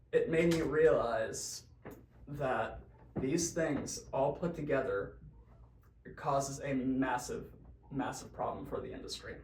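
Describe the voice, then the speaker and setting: A man speaks very slowly with long, frequent pauses. Noticeable background noise runs underneath. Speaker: bassist. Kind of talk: casual talk to camera. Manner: hesitant, stammering.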